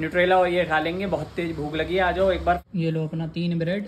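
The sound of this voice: A man speaks at a fairly quick pace in a fairly high pitch, with little movement in his pitch.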